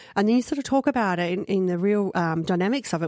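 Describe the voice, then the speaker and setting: Speaking at a fairly quick pace and medium pitch, a woman is heard in a very clean recording with a silent background. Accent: Australian. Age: 40s. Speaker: mental health advocate. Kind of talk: radio interview. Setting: studio.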